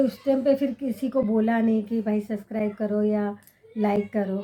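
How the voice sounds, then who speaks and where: A woman of fairly high pitch with a dark, mellow tone and monotone, flat intonation. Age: 60s. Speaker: vlogger. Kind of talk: casual chat to camera. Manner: halting, with self-corrections.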